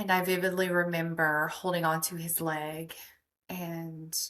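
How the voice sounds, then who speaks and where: A woman with an American accent has a fairly low pitch and fairly even intonation in a plain, everyday voice. The recording is very clean, with a silent background. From US South, Mississippi. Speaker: podcast host, healer. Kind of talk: personal testimony.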